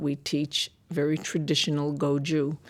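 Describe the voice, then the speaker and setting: An American-accented woman with a very deep, low pitch, at a fairly slow pace. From Massachusetts. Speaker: immigration attorney. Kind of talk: interview conversation. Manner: conversational with fillers.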